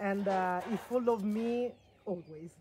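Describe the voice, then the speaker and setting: A woman speaks at a very slow pace. Her pitch is medium. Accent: Italian. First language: Italian. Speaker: farm stay owner and food producer. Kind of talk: casual product talk. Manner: halting, many fillers.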